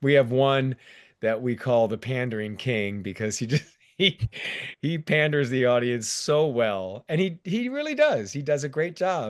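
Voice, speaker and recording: At a moderate pace, a man with a plain, everyday voice and medium pitch talks with lively intonation against a quiet background. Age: 60s. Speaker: theme park stunt performer. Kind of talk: casual chat.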